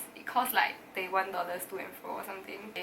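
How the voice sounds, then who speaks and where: There is noticeable background noise. Through it, a woman speaks at a medium pitch. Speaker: university student. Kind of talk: casual talk to camera.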